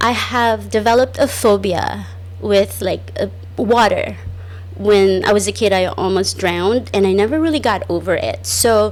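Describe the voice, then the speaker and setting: There is music behind the voice. The speaker is a woman in an American accent. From small island village, outside the US. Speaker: podcast host. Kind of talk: casual monologue. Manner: loud; chatty, with many fillers.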